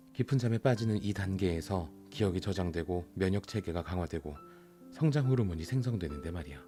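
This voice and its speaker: A man's very deep, low voice at a fairly quick pace, lively intonation, music in the background. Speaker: audiobook narrator. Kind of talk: audiobook reading.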